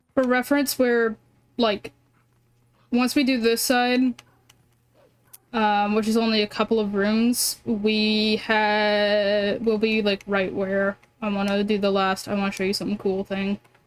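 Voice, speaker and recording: A soft-spoken woman with an American accent, fairly slow and flat in monotone intonation, with long, frequent pauses. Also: fairly high pitch for a woman. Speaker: video game streamer. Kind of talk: live gameplay commentary.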